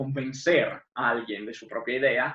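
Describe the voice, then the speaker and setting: Here a man speaks with an Italian accent. His pitch is fairly high and his pace fairly slow. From Italy, Friuli Venezia Giulia. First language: Italian (speaking Spanish). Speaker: literature scholar. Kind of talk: lecture.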